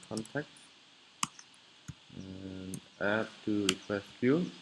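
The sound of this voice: A man's fairly low voice, slow in pace, with fairly even intonation.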